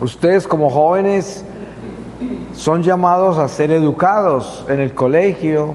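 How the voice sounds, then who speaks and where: A man's fairly high voice at a very slow pace, with very even loudness, ordinary pitch variation, audible room echo and noticeable background noise. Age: 70s. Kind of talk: religious talk to youth. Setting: parish church.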